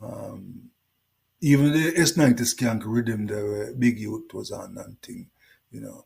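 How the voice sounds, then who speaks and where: With a Jamaican accent, a man speaks at a fairly slow pace. His loudness swings widely. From Jamaica (Kingston). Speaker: reggae singer. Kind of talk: interview.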